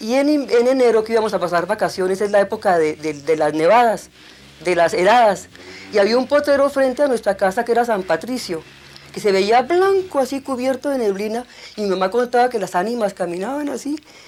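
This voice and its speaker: Noticeable background noise sits under the recording. A woman speaks quickly-ish, at a fairly high pitch and fairly quick pace. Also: lively intonation. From Colombia, Bogotá and rural Cundinamarca. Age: 60s. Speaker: documentary filmmaker. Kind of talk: testimony.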